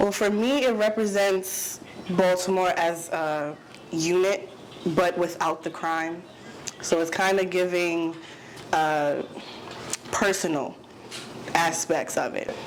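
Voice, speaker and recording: Very slowly, with long and frequent pauses, a woman speaks at a fairly low pitch with ordinary pitch variation. Audible room echo and noticeable background noise fill the recording. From New York City, Manhattan. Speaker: actor. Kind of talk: interview.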